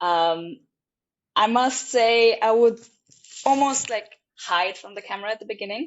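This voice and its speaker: This woman speaks at a moderate pace in a fairly high pitch with ordinary pitch variation. Her loudness swings widely, and she leaves long, frequent pauses. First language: not English; also fluent German. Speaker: travel vlogger. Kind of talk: casual interview chat. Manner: hesitant, with fillers.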